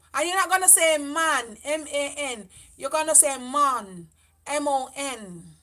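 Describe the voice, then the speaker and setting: A woman with a Jamaican accent speaks very slowly in a raised, projected voice, her pitch high and her tone bright and sharp, with lively intonation. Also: quiet background. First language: Jamaican Patois. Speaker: beauty vlogger. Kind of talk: livestream chat. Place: home room. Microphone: camera far.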